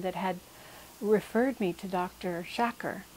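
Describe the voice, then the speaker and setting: At a moderate pace, this woman uses a normal speaking voice, pitched in the medium range with ordinary pitch variation. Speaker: patient. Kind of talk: testimony.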